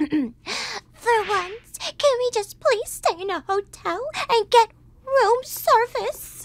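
A woman's put-on character voice, extremely high in pitch and very slow. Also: dry, close sound with no echo. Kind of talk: expressive character reading. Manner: fussy, complaining.

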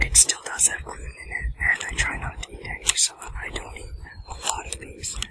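A man is whispering. His pace is fairly quick. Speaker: food vlogger. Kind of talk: casual vlog chat. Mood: relaxed, cheerful. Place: forest.

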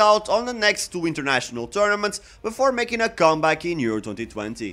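A man speaks at a fairly quick pace, with faint music underneath. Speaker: football channel host. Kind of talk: commentary. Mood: wry, critical. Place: home room. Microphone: studio mic.

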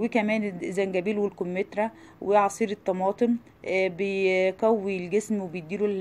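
The speaker has an Egyptian accent. The delivery is fairly slow, with monotone, flat intonation. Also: woman. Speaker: cooking YouTuber. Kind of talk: informational talk.

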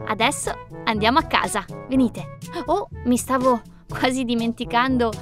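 Over clear background music, a woman talks at a moderate pace in a dry sound with no echo. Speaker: presenter. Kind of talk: children's toy demo chat. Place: waterside.

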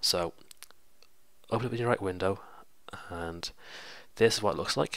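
A man talks at a low pitch, his tone fairly bright.

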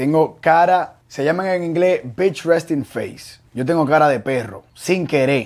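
A man talks with a Dominican accent and a fairly high pitch. His intonation is lively over a quiet background. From Dominican Republic. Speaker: show creator and youtuber; show creator, youtuber. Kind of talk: casual interview. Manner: animated. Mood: relaxed, joking. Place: studio. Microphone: lapel.

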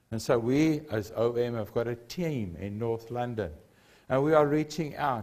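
A man at a fairly slow pace against a quiet background. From South Africa. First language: Afrikaans. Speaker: preacher. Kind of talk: sermon. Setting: church. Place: church. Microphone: lapel.

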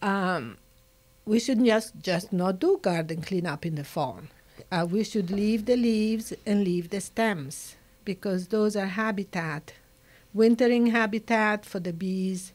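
The speech moves at a fairly slow pace. Its pitch varies in an ordinary way. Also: woman. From Italy. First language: Italian. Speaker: nature conservationist. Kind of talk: interview. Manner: animated. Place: studio. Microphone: studio mic.

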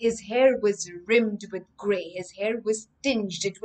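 What comes through is a natural reading voice.

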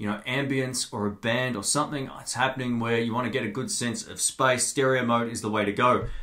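A man speaks fairly quickly, with a quiet background behind him. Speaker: tech reviewer. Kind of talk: product review tutorial. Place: studio. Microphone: studio mic.

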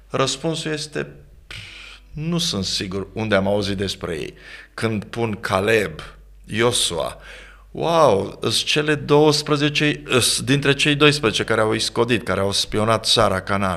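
A man speaks at a very slow pace in a bright, sharp tone with vocal fry and very wide pitch swings against a quiet background. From Romania, Galați (south-east); Romania. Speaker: pastor and author; pastor. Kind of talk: interview on leadership. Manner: formal. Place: studio. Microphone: studio mic.

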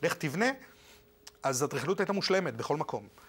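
Lively intonation runs through a man's speech. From Argentina, moved to Israel at 15. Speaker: architect; interviewee. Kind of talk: TV interview. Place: studio. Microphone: lapel.

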